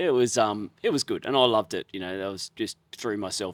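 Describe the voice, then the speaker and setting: A man with an Australian accent at a very fast pace, in a very clean recording with a silent background and a dry, close sound with no echo. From Australia, Queensland Sunshine Coast (Nambour). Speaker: chef. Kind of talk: casual chat.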